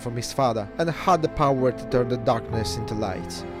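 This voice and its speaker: With music in the background, a man talks at a moderate pace and medium pitch, showing ordinary pitch variation. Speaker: gaming lore video narrator. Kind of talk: game story recap narration. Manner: stutter, audio cut and spliced.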